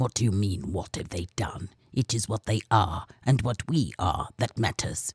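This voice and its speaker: Using a put-on character voice, a man speaks at a moderate pace and fairly low pitch with hardly any pauses. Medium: read story. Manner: insinuating, bullying.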